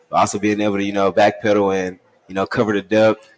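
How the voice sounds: A man talks at a fairly quick pace. His low voice shows little pitch movement.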